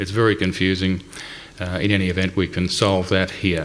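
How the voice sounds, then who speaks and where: There is audible room echo and noticeable background noise. A man talks with an Australian accent. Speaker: company representative presenting a website. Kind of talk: conference presentation. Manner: hesitant, many fillers.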